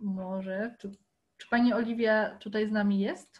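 Somewhat breathy and fairly high in pitch, a woman talks at a moderate pace in a monotone, flat intonation. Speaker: botanical garden educator and moderator; botanical garden educator, moderator. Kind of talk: moderating an online Q&A. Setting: video call. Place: home room. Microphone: laptop mic, no headset; video call.

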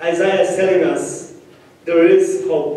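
Strong room echo surrounds a man speaking at a very slow pace. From Peru, Ayacucho region. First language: Spanish. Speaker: pastor. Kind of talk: sermon. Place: church.

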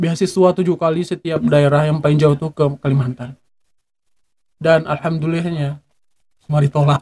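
With long, frequent pauses, a man speaks at a moderate pace in a fairly high pitch, his dark, mellow tone kept in a monotone, flat intonation. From Aceh, Indonesia. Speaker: Quran school alumnus; podcast guest. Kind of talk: casual interview. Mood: reflective, earnest storytelling. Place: studio. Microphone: studio mic.

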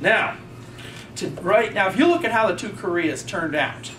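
Noticeable background noise sits behind a man whose intonation is lively. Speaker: audience member. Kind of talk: audience rebuttal. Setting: stage with audience.

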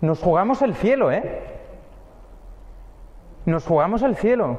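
A man talks slowly with a high pitch, big pitch swings and a slightly mellow tone.

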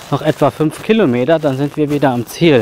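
A man talks at a moderate pace with ordinary pitch variation, in a dry sound with no echo and light background noise. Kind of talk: casual vlog chat. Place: forest. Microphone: phone near.

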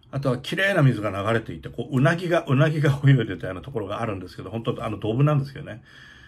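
Talking at a very fast pace with hardly any pauses, a man sounds somewhat breathy, his intonation lively and his loudness swinging widely. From Japan, Kagoshima (Kanoya); Japan. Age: 60s. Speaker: opera stage director. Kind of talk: casual monologue vlog. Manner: hesitant, many fillers. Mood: nostalgic, warm. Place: home room. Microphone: phone near.

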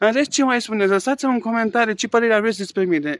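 This man's high voice carries lively intonation. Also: dry sound with no echo. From Romania. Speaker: vlogger. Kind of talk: angry rant, indignant vlog complaint. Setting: outdoors. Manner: indignant, agitated, emphatic. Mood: earnest, a bit aggrieved. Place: garden. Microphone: phone near.

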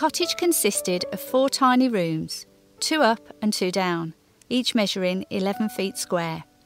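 Music plays behind a woman who speaks at a fairly slow pace, her fairly high voice making very wide pitch swings. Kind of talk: heritage documentary narration.

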